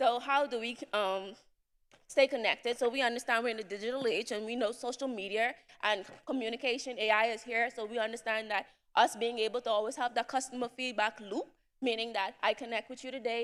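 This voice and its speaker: Fairly high-pitched woman speaking at a fairly quick pace with fairly even intonation. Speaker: entrepreneur, summit attendee. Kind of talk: presentation to audience. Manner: fast.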